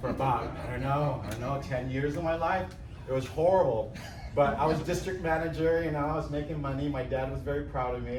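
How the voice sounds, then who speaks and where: A man's fairly high voice with an American accent, at a fairly quick pace with ordinary pitch variation, with audible room echo and noticeable background noise. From Philippines (Manila), then San Francisco from age 14. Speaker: photographer. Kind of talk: talk to a live audience. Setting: room with live audience. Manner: casual.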